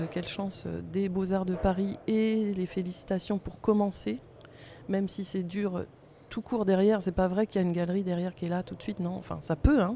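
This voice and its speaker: At a moderate pace, a woman with medium pitch and an unremarkable speaking voice talks with fairly even intonation. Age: 50s. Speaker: artist photographer. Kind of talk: interview. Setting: recording at a museum.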